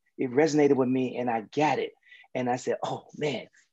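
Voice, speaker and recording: Here a man speaks with an American accent at a moderate pace. His tone is dark and mellow. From US South. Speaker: mindset coach and podcast host. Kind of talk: interview.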